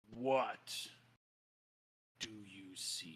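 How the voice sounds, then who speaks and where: In a put-on character voice, a man sounds raspy with a fairly low pitch. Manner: ominous, solemn.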